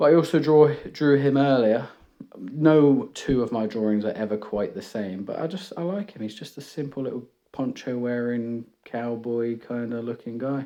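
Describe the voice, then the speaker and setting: A man with a British accent, medium in pitch, dark and mellow in tone. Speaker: art YouTuber. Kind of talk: casual chat. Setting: home room. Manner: rambling, hesitant.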